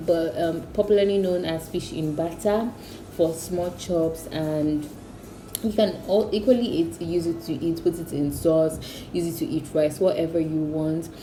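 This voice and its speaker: A woman with a fairly low pitch speaks fairly slowly with ordinary pitch variation, amid audible room echo and noticeable background noise. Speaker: cooking youtuber. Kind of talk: casual vlog intro. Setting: at home. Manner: soft-spoken, whispering.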